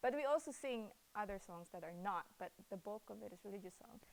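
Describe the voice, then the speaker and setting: With a Cebuano accent, a woman speaks in a fairly high pitch. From Philippines. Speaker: rapper and hip-hop artist. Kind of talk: interview. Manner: hesitant, many fillers.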